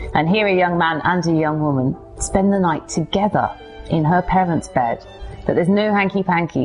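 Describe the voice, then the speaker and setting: Over music in the background, a woman speaks in an enthusiastic tone with ordinary pitch variation. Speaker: historian, museum curator. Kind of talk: book promotion talk to camera. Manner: enthusiastic, chatty.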